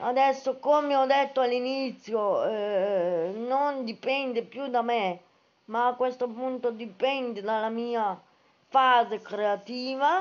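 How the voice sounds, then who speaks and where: A woman with a high pitch talks very slowly, her pitch varying in an ordinary way. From Italy. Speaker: book-reviewing writer and live streamer; book vlogger. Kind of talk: casual live stream chat. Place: home room. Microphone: phone near.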